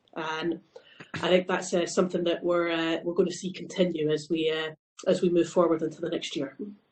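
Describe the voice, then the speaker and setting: A woman speaks in a Scottish accent with a fairly low pitch. Her intonation is monotone and flat, and her pace is fairly quick. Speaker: company CEO. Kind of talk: panel discussion.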